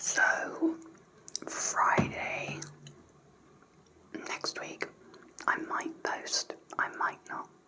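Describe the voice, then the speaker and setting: A woman's whisper at a very slow pace, with long, frequent pauses and noticeable background noise. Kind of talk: casual talk to camera. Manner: whispered, soft-spoken.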